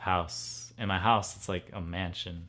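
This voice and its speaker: The voice has a bright, sharp tone. It moves at a very slow pace with ordinary pitch variation. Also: man. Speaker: vlogger. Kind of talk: casual chat. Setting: home. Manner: animated; loud.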